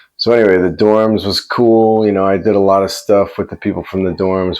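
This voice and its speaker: With a New York accent, a man speaks at a moderate pace. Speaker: vlogger. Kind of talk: personal storytelling. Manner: casual, conversational.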